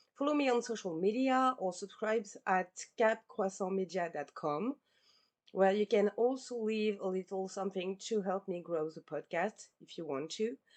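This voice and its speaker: A woman speaks with a non-native accent and ordinary pitch variation. The sound is dry and close with no echo. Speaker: podcast host. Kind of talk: podcast outro; scripted narration.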